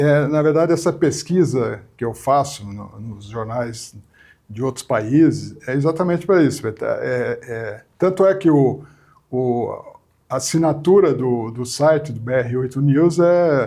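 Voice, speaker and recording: Speaking at a fairly slow pace, a man with a fairly high pitch and a dark, mellow tone shows ordinary pitch variation and big swings in loudness. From southern Brazil, Porto Alegre; raised in São Paulo (Mooca). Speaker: media executive and journalist. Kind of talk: interview. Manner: hesitant, frequent repetitions.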